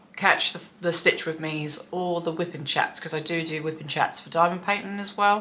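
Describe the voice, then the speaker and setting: A woman's voice, fairly low in pitch with fairly even intonation, over noticeable background noise. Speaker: cross stitch vlogger. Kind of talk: casual hobby vlog. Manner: monotone, flat.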